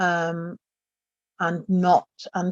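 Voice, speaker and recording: A woman with a Yorkshire accent speaks at medium pitch, the sound dry and close with no echo. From northern England, Doncaster. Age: 50s. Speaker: retired psychiatric nurse. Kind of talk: interview testimony. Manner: halting, many repetitions and fillers.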